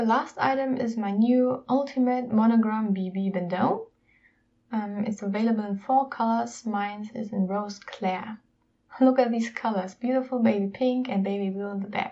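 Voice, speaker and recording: A woman's somewhat breathy voice, dark and mellow in tone, fairly high in pitch, with fairly even intonation at a moderate pace. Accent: non-native. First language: not English. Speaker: YouTuber, luxury unboxing. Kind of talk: unboxing video, casual presentation.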